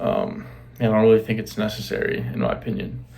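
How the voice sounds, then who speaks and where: The man's voice is quiet, and there is audible room echo around it. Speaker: fitness vlogger. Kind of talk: casual vlog talk. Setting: bedroom. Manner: hesitant, many fillers.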